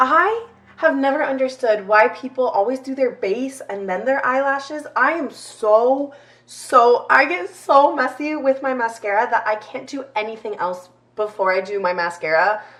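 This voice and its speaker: A woman's lively intonation at a moderate pace amid noticeable background noise. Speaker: lifestyle YouTuber. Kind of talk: chatty get-ready-with-me vlog. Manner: casual, filler-heavy.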